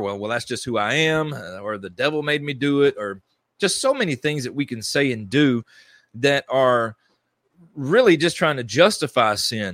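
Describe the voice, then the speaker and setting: A man talks at a moderate pace with lively intonation. It's a plain, everyday voice. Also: very clean recording, silent background. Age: 30s. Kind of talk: solo devotional teaching monologue. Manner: conversational with filler words and restarts.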